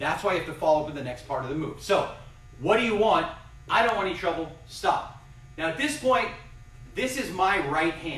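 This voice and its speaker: A man speaks at a fairly quick pace in a high pitch, with an energetic tone and lively intonation. Noticeable background noise and audible room echo fill the recording. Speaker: karate instructor. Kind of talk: live fitness and self-defense class. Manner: fast.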